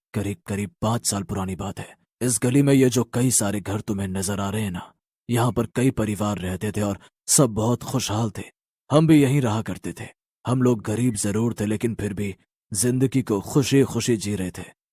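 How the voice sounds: A man's fairly low, cartoonish character voice at a moderate pace, on a very clean recording with a silent background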